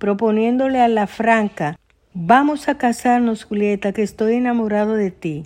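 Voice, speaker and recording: A woman talks at a fairly slow pace in an ordinary speaking voice, her pitch fairly high with ordinary variation. The background is quiet. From Dominican Republic. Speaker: writer. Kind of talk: reading aloud.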